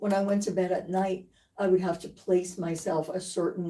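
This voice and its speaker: Somewhat breathy and dark, mellow in tone, a woman speaks at medium pitch with monotone, flat intonation. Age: 80s+. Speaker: patient. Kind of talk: testimony.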